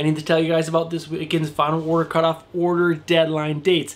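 This is a man speaking. His voice sits high in pitch. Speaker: comic book YouTuber. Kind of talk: solo video commentary on comic releases. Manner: casual, chatty. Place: home room.

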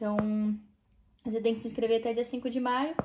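In a Brazilian accent, a woman speaks in a high voice with flat, monotone intonation. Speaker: cosmetics sales consultant and video blogger; cosmetics sales consultant, video blogger. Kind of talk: product walkthrough video. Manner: casual, conversational. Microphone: phone near.

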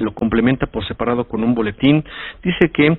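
At a fairly quick pace, a man talks at medium pitch in an ordinary speaking voice. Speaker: radio news host. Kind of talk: radio news commentary reading a press notice.

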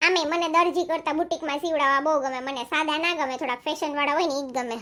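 In a cartoonish character voice, a woman talks at a fairly quick pace with a high pitch. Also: fairly even intonation. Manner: chatty, showy.

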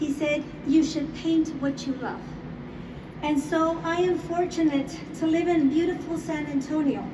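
Amid noticeable background noise, a woman with a high pitch speaks fairly slowly and with fairly even intonation. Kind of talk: acceptance speech. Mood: grateful, emotional, formal. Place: hall. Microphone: pa.

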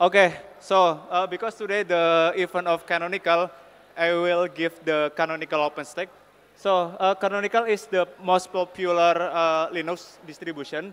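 This man talks at a moderate pace with an Indonesian accent. His pitch is high and his intonation stays monotone and flat. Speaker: software team lead; conference speaker. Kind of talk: conference talk. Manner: halting, many fillers. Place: hall. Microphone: podium.

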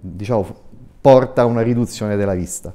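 The tone is dark and mellow. It belongs to a man. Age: 60s. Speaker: eye surgeon; guest. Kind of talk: TV interview. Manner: hesitant, many fillers. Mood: calm, explanatory. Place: studio. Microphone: lapel.

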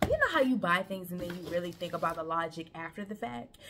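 A woman is speaking. Loud background noise runs underneath her voice. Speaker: vlogger. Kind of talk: casual vlog chat. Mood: relaxed, chatty. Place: home room. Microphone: camera far.

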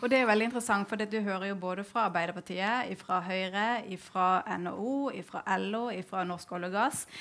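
This woman has a plain, everyday voice, medium in pitch, with ordinary pitch variation. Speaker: event moderator, think tank project leader; event moderator. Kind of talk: event moderation. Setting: stage with audience. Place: stage. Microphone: headset.

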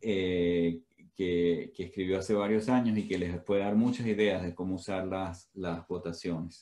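The man's voice is very deep and low, with a dark, mellow tone. His intonation is fairly even. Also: fairly slow pace. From Venezuela. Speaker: professor. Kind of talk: lecture; webinar lecture and discussion. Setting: video call. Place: home room. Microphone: headset.

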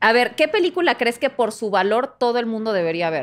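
A woman talks at a fairly quick pace in a Mexican accent. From Mexico. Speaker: podcast co-host. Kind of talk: casual chat. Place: studio. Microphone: studio mic.

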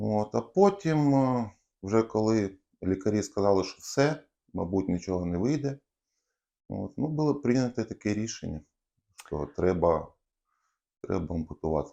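A man with a fairly low pitch and a dark, mellow tone speaks at a fairly slow pace with lively intonation and long, frequent pauses. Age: 30s. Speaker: car mechanic and leg amputee. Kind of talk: interview. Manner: halting, hesitant with fillers.

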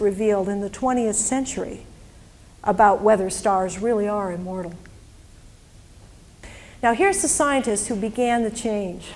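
Over light background noise, a woman speaks at a moderate pace. Her intonation is lively, broken by long, frequent pauses. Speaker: presenter. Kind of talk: lecture. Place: hall. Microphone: handheld.

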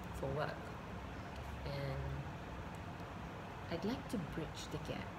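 A woman speaks at a fairly slow pace. Loud background noise runs behind her. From Malaysia. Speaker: branding specialist, voice over artist. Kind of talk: casual vlog talk to camera. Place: home room. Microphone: webcam.

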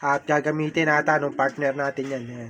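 This man talks at a fairly quick pace in a flat, monotone delivery. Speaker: pigeon racing hobbyist vlogger. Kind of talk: casual vlog tutorial. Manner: casual, many hesitations.

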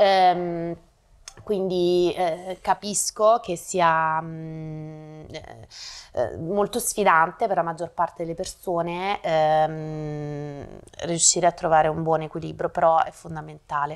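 Against a quiet background, a woman with a fairly low pitch talks at a very slow pace, keeping her intonation fairly even. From Naples, southern Italy; southern Italy. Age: 40s. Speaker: brand manager and actress; actress. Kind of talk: interview. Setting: studio. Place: home room. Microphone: lapel.

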